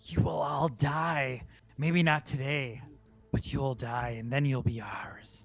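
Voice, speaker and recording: A put-on character voice at a low-to-middle pitch is heard over faint music in the background. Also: fairly slow pace. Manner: menacing, challenging.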